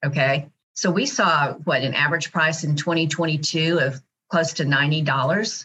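A woman speaks at a very slow pace in a very deep, low pitch, with very even loudness and ordinary pitch variation. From Dallas, Texas. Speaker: company CEO. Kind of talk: interview.

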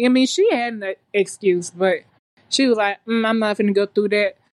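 A woman with a fairly high pitch talks at a moderate pace, her intonation fairly even. The sound is dry and close, with no echo. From US South, Alabama. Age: 30s. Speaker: new nursing graduate. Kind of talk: casual chat.

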